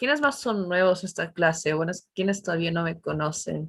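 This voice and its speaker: A woman talks fairly quickly in a New York accent. Her pitch is medium, with ordinary variation. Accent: New York American English. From US, New York. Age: 20s. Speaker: English teacher. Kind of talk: online class. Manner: casual.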